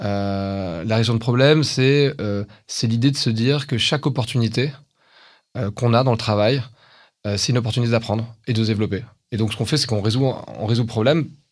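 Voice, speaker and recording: A man speaks at a fairly quick pace with a medium pitch and ordinary pitch variation, leaving long, frequent pauses against a quiet background. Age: 40s. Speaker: tech company founder and CEO. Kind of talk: interview.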